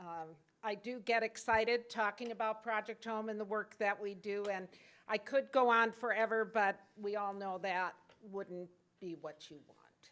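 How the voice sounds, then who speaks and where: A woman at a fairly slow pace, fairly high in pitch, fairly even in intonation, with big swings in loudness. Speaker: nonprofit executive director. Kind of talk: conference presentation. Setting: conference meeting room, PA system.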